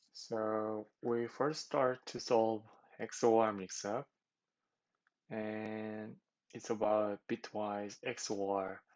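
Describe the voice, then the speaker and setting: Very slow, monotone, flat speech from a man with a fairly low pitch. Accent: non-native. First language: not English. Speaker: competitive programming tutor. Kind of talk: tutorial. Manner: halting, many fillers.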